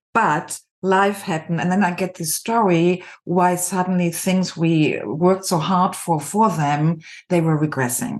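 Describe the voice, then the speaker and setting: A woman with a German accent speaks at a fairly slow pace, her pitch fairly low, with ordinary pitch variation. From Germany (Düsseldorf). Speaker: executive coach and artist. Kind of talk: podcast interview.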